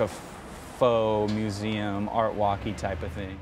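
Against noticeable background noise, a man's fairly low voice comes through in a dry sound with no echo. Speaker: mural project organizer. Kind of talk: interview. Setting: outdoors. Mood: relaxed, hopeful. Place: tunnel cave. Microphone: lapel.

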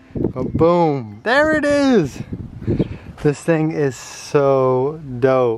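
The sound is dry with no echo, though background noise is noticeable. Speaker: vlogger. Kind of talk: casual vlog chat. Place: street. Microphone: phone near.

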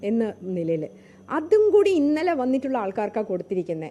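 A woman speaks in a fairly high pitch. Her tone is dark and mellow. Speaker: politician. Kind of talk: press statement / interview. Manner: animated.

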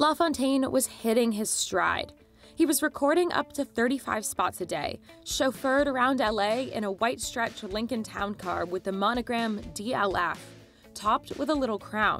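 Music plays in the background as a woman with a fairly high pitch speaks at a moderate pace with lively intonation. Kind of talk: documentary explainer narration.

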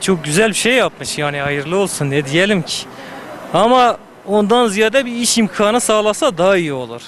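Pitched high with very wide swings, a man's voice comes through dry with no echo over light background noise. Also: moderate pace. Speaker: passerby; interviewee. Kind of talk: street interview. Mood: complaining about work conditions. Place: street.

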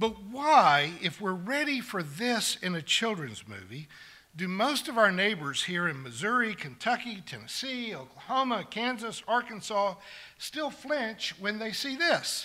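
A man's raised, projected voice with very wide pitch swings, at a fairly slow pace. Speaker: preacher. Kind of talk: sermon. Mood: wry, sarcastic, occasional laughs. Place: church. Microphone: podium.

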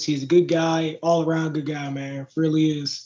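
Monotone, flat intonation at a moderate pace, in an American accent. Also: man. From Chicago. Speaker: MMA fighter; interviewee. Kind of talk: casual interview. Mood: relaxed, candid. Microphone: video call.

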